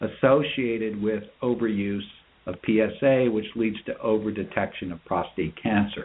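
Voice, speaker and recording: This man has a normal speaking voice, pitched fairly low, with fairly even intonation. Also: moderate pace. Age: 60s. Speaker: urologist. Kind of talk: interview.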